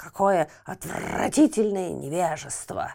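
A croaky, put-on character voice at a middle pitch, delivered at a fairly slow pace. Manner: croaking in anger.

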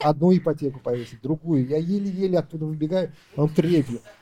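The speech comes at a very fast pace in a dark, mellow tone. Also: man. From Uzbekistan. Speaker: entrepreneur. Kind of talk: business consultation.

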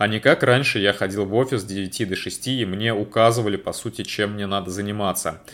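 A man talks with an ordinary speaking voice at a medium pitch and a moderate pace. The recording is very clean, with a silent background. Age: 30s. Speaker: podcaster and freelancer. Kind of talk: monologue.

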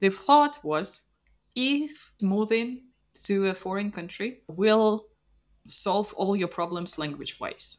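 A woman speaks in a Russian accent at a medium pitch. Her pace is very slow. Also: lively intonation. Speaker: language teacher. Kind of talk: casual chat.

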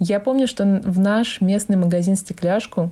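With a dark, mellow tone and a somewhat breathy quality, a woman speaks at a moderate pace using fairly even intonation. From Vorkuta, Komi Republic. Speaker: former resident sharing memories. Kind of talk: recorded personal reminiscence.

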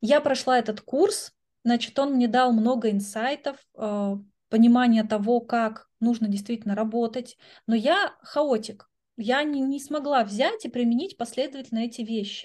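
The woman's voice is high-pitched. Its pitch varies in an ordinary way. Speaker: educational coach and philosophy lecturer. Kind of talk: interview.

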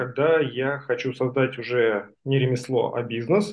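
At a fairly slow pace, a man with a normal speaking voice talks at a fairly high pitch with ordinary pitch variation. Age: 40s. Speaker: stair craftsman. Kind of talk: book club discussion.

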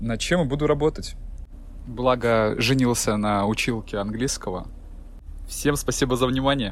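There is audible room echo as a man speaks. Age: 30s. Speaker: ship's officer. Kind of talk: prepared monologue.

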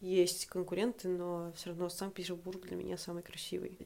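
A woman speaks at a fairly slow pace. Her intonation is flat and monotone. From Russia, Saint Petersburg. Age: 20s. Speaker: podcast guest sharing personal story. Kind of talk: personal story monologue.

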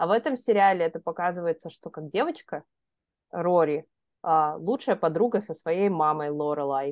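A woman with an unremarkable speaking voice talks at a moderate pace, her fairly low pitch showing ordinary variation. Her loudness swings widely, and the sound is dry and close with no echo. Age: 30s. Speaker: podcast co-host. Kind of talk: casual chat.

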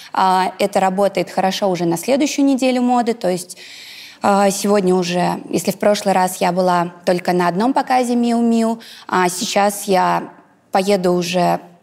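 Delivered at a moderate pace with very even loudness and ordinary pitch variation, this is an unremarkable speaking voice. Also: woman. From Russia, Ivanovo region. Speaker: blogger and businesswoman. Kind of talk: interview.

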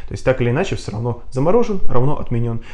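Over noticeable background noise, a man with a medium-pitched voice talks very fast. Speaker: indie game designer and English teacher. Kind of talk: interview conversation. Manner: hesitant, many filler sounds.

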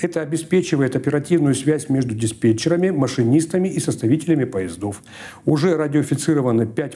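A man with an unremarkable speaking voice talks at a fairly high pitch. His intonation is lively and his pace fairly quick. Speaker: newspaper archive expert. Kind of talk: soviet newsreel narration, reading archive newspaper text aloud. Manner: formal, measured, solemn official tone.

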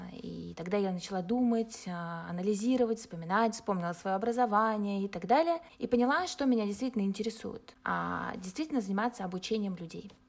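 A woman with an unremarkable speaking voice talks at a fairly quick pace with hardly any pauses. Her pitch is medium, with ordinary pitch variation. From Russia. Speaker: life coach. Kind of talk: podcast interview.

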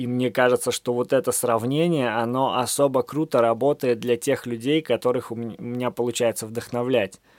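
Recorded very cleanly, dry and close with no echo and a silent background, a man speaks at a moderate pace in a medium pitch with fairly even intonation. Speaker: podcaster and author. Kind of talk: late-night solo monologue. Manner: casual, stream-of-consciousness.

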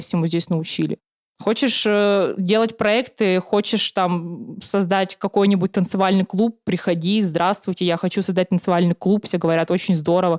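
In an unremarkable speaking voice, a woman with a medium pitch and ordinary pitch variation talks at a fairly quick pace, the sound dry and close with no echo and the recording very clean against a silent background. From Siberia, Russia. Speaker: former student union chair. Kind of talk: casual interview.

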